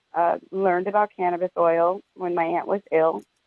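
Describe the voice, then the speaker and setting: Talking at a fairly quick pace, a woman with a New York accent uses a fairly low pitch and fairly even intonation. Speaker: cannabis media entrepreneur. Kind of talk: interview.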